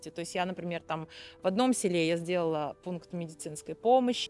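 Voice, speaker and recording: A woman's voice at a medium pitch. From Odesa, Ukraine. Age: 40s. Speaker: dance teacher and volunteer. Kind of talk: interview testimony.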